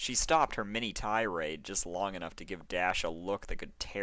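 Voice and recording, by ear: A natural voice reading aloud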